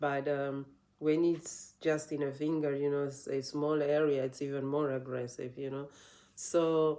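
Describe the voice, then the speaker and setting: A woman with a non-native accent speaks at a fairly slow pace in a very deep, low voice, her tone dark and mellow and her intonation flat and monotone. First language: not English. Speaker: yoga teacher. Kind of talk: casual vlog talk. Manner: halting, many restarts and fillers.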